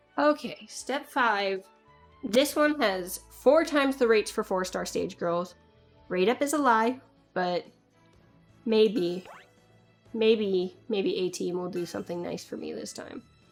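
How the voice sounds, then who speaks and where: With music in the background, a woman talks at a fairly slow pace and a fairly high pitch, using lively intonation and long, frequent pauses. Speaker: gacha game video creator. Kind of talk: casual gameplay commentary. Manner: rambling.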